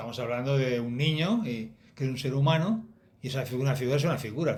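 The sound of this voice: Here we hear an unforced reading voice. The pitch shows ordinary variation.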